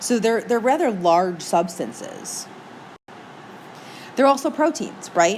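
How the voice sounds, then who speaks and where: A woman with an American accent speaks very slowly at a fairly high pitch, her pitch swinging very widely while her loudness stays very even. Long, frequent pauses break up her speech, and room echo is audible. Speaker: teacher. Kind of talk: lecture. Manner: casual, chatty.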